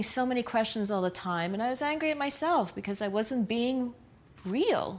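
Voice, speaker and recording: A woman with a New York accent talks at a fairly quick pace in a high voice, her intonation lively. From New York City, Brooklyn, Puerto Rican family. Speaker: nightlife promoter and filmmaker. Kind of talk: personal testimony.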